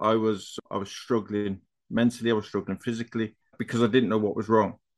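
A man with a British accent, medium in pitch, against a quiet background. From UK. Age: 40s. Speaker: life coach. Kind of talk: casual chat.

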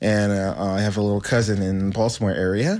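A man with a fairly low pitch talks at a moderate pace in an ordinary speaking voice, on a very clean recording with a silent background. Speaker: radio co-host. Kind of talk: casual chat. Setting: studio.

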